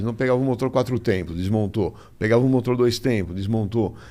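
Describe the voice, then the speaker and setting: The man speaks in a dark, mellow tone. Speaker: automotive journalist. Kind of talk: interview.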